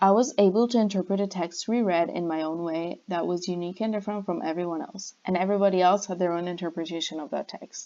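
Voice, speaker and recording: Speaking at a very fast pace with hardly any pauses, a woman with a medium pitch has a dark, mellow tone and fairly even intonation. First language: not English. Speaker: university student. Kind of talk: class presentation. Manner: scripted, read-out delivery.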